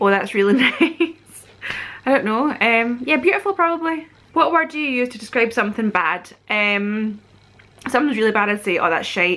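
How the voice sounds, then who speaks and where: A woman's fairly high voice with a bright, sharp tone, in a West Central Scottish accent. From Scotland. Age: 30s. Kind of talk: casual talk to camera.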